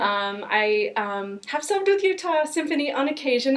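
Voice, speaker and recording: With an American accent, a woman talks in a high voice with lively intonation over noticeable background noise. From Florida, Miami. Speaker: arts fundraiser and violinist. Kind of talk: casual interview. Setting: backstage. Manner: many fillers (um).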